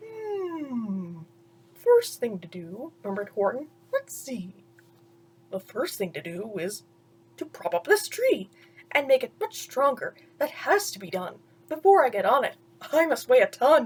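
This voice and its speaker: Using a put-on character voice, a woman speaks at a high pitch and a moderate pace, with long, frequent pauses. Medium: read story. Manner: earnest.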